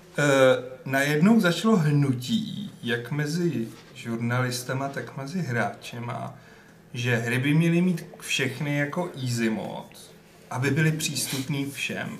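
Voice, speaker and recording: A man's fairly high voice, very slow, with lively intonation over noticeable background noise. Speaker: podcast co-host. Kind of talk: casual chat.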